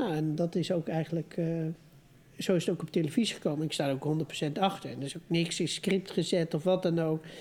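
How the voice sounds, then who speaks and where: Delivered at a fairly quick pace, this dark, mellow tone carries fairly even intonation. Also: woman. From Netherlands, Amsterdam. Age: 40s. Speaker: family business owner. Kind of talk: casual chat.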